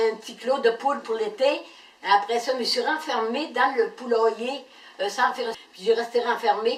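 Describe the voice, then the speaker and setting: The speaker has a Quebec accent and talks at a moderate pace with ordinary pitch variation. Noticeable background noise runs underneath. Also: woman. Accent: rural Quebec French. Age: 70s. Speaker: game show applicant, weaver. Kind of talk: casual video application. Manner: halting, many hesitations.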